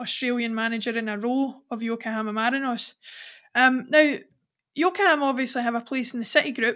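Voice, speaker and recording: A woman with a Scottish accent, a high pitch and a bright, sharp tone, at a moderate pace on a very clean recording with a silent background. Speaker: podcast host. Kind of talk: casual interview.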